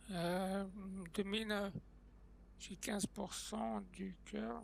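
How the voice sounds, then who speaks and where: Very slow speech is heard over noticeable background noise. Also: man. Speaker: gaming streamer. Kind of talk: live gameplay stream. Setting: live stream on TikTok. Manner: casual, hesitant with many fillers.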